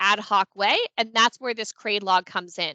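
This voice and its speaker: Her tone bright and sharp, a woman talks at a fairly quick pace with a dry sound and no echo. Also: quiet background. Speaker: consulting firm founder presenting a webinar; presenter. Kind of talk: webinar presentation. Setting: online meeting on Teams. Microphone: headset.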